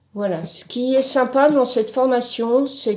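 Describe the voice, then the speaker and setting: A woman at a very slow pace with ordinary pitch variation, against noticeable background noise. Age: 60s. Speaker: art course student. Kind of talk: testimony. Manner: halting, with many fillers.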